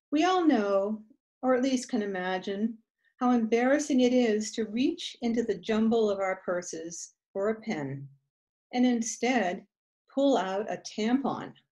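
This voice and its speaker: Against a quiet background, a woman speaks at a fairly slow pace in a dark, mellow, somewhat breathy tone with lively intonation. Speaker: poet. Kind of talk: poem performed. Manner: animated, humorous, storytelling. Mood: wry, humorous delivery. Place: home room. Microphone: webcam.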